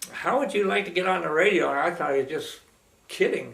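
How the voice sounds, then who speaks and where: Amid noticeable background noise and audible room echo, a man with an American accent speaks at a high pitch with ordinary pitch variation. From Pennsylvania, Pittsburgh. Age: 90s. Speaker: retired radio man telling life stories. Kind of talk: personal reminiscence. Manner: halting, with many fillers.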